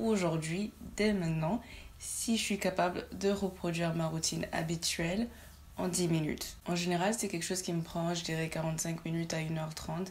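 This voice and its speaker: A woman's fairly low, somewhat breathy voice at a moderate pace with fairly even intonation. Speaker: beauty youtuber. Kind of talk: makeup tutorial. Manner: hesitant, with many fillers.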